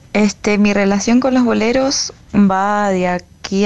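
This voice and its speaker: A woman talks at a very slow pace. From Mendoza, Argentina. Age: 20s. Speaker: singer-songwriter. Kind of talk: recorded message.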